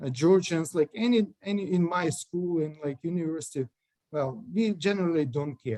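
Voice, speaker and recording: A man speaks with a Russian accent, his pitch high and his tone dark and mellow. He talks at a fairly slow pace with lively intonation. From central Ukraine. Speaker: lawyer. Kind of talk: interview. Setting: video call. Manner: halting.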